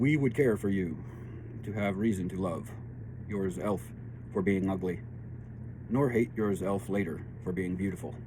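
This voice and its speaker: A somewhat breathy, dark, mellow voice with ordinary pitch variation and long, frequent pauses, in audible room echo. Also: man, fairly low pitch for a man. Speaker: tarot and spiritual reading channel host. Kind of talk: spiritual reading monologue. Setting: home studio workshop. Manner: slow because of painkillers.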